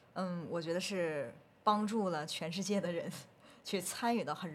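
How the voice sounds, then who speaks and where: There is audible room echo around a woman speaking in a fairly low pitch. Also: big swings in loudness. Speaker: researcher and group fitness instructor. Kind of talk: casual podcast interview.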